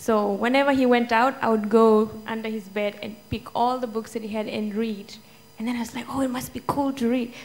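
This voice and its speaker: A woman with an Indian accent talks at a fairly quick pace and a fairly high pitch, in a monotone, flat intonation. Music plays in the background. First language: Hindi. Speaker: children's author. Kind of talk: panel Q&A answer.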